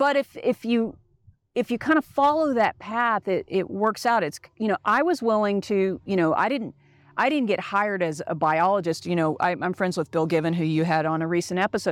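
With an American accent and an unremarkable speaking voice, a woman speaks at a medium pitch and moderate pace, her intonation lively and her loudness very even, on a very clean recording with a silent background. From Texas, Dallas. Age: 40s. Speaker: travel company owner. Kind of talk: casual chat.

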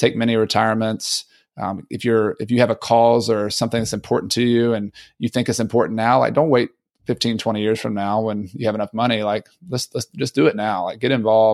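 Recorded very cleanly with a silent background and a dry, close sound with no echo, a man with a Southern accent talks at a fairly quick pace, medium in pitch, with fairly even intonation. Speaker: real estate investor and author. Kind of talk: casual interview. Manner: halting, many repeats.

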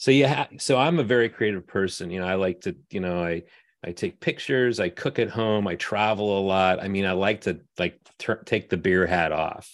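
A man speaks at a moderate pace with an unremarkable speaking voice, fairly low in pitch, with an American accent and ordinary pitch variation. The recording is very clean, with a silent background. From Southern California. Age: 30s. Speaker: brewmaster. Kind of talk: casual chat.

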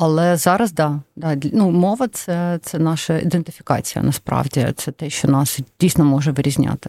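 A woman with a Russian accent speaks at a moderate pace with hardly any pauses, her pitch very deep and low and her tone dark and mellow. The recording is very clean with a silent background. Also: ordinary pitch variation, dry, close sound with no echo. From Donetsk, eastern Ukraine. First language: Russian (speaking Ukrainian). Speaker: charity executive. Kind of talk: interview.

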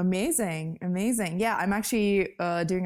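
A woman speaks with a Russian accent. Her intonation is fairly even. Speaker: software developer and coding influencer. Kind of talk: interview. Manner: laughs often.

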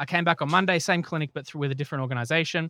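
A man with an Australian accent and a fairly high pitch speaks in a bright, sharp tone with fairly even intonation, the sound dry and close with no echo on a very clean recording with a silent background. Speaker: podcast host and health tech company director. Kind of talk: casual chat.

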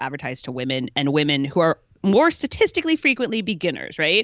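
A woman talks at a very fast pace with lively intonation. Her pitch is fairly low. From Chicago. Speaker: pro triathlete and journalist, co-host. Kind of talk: casual chat.

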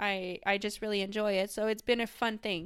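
The voice has a Quebec accent and a bright, sharp tone, moving at a moderate pace in a monotone, flat intonation. The recording is very clean and the background silent. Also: woman. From Quebec, Canada. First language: French. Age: 20s. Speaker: professional cyclist. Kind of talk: interview. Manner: halting.

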